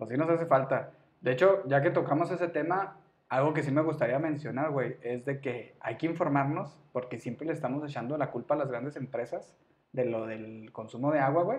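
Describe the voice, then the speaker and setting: With an unremarkable speaking voice, a man speaks at a fairly quick pace, his pitch fairly high with ordinary variation. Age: 30s. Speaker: podcast co-host. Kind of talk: casual chat.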